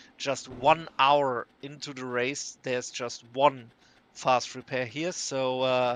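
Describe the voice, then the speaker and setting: Very slow in pace, a man with a non-native accent speaks at a medium pitch with monotone, flat intonation and big swings in loudness. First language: German. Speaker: sim racing commentator. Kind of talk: live commentary. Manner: hesitant, many fillers and restarts.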